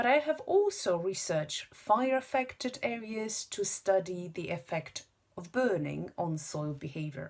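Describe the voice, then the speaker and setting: At a fairly slow pace, the voice makes very wide pitch swings and big swings in loudness. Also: woman, medium pitch for a woman. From Poland. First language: Polish. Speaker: university lecturer. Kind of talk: self-introduction video. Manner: halting, many fillers.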